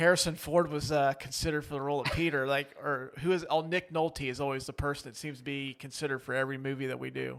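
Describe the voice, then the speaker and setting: Very fast and with hardly any pauses, a man talks in a fairly high, monotone, flat voice. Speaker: podcast co-host. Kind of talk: casual chat. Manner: hesitant with fillers.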